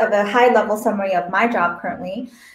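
A woman speaks fairly quickly at a fairly high pitch with ordinary pitch variation. Room echo is audible. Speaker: network engagement manager at a startup accelerator. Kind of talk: panel discussion, online AMA. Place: home room.

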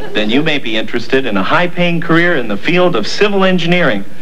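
Noticeable background noise is present throughout. Over it, a man speaks at a fairly quick pace. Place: studio.

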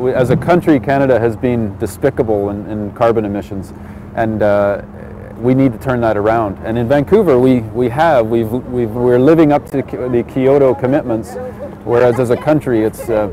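A man at a moderate pace, in a dry sound with no echo and noticeable background noise. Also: ordinary pitch variation. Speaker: city mayor. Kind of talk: interview answer. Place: street.

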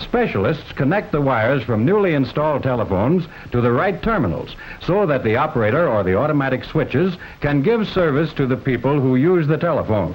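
His pitch swings very widely. The man keeps up a fairly quick pace. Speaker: film narrator. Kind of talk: documentary narration. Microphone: old recording.

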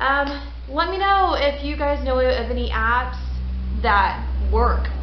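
A woman's voice carries through audible room echo, with light background noise underneath. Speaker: paranormal vlogger. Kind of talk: casual vlog chat. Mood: calm, winding down. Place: garage. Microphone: webcam.

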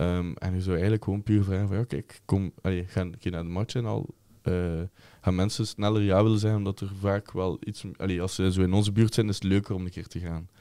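Against a quiet background, a man with a very deep, low pitch and a dark, mellow tone speaks at a fairly quick pace. His intonation is monotone and flat, and the sound is dry with no echo. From Flanders, Belgium. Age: 20s. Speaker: football ultras group member, chant leader; podcast guest or host. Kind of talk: casual chat. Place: studio. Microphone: studio mic.

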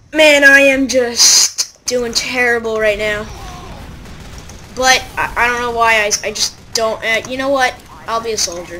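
A woman at a fairly slow pace, with long, frequent pauses and fairly even intonation, amid noticeable background noise. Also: fairly high pitch for a woman. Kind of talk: casual gameplay commentary. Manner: monotone.

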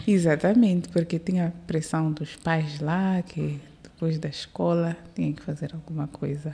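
Speaking at a fairly slow pace, a woman has a very deep, low pitch, a dark, mellow tone, fairly even intonation and a somewhat breathy quality. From born in Maputo, raised in South Africa from age 5 to 22. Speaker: airline captain; guest. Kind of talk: interview. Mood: relaxed, smiling. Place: studio. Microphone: studio mic.

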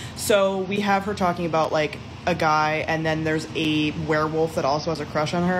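A woman speaks over noticeable background noise. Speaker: book reviewer. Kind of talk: casual vlog chat. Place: home room. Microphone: phone near.

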